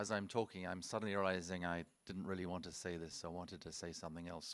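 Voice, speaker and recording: A man's very deep, low voice at a very fast pace, in monotone, flat intonation. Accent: British. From UK. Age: 70s. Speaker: wildlife conservationist. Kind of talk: conference presentation. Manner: halting, with frequent repetitions.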